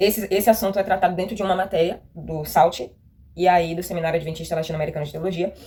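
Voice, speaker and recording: Her voice is dark and mellow, fairly low in pitch for a woman, delivered flat and monotone at a fairly quick pace. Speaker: youth Bible lesson teacher. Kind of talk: Bible study teaching.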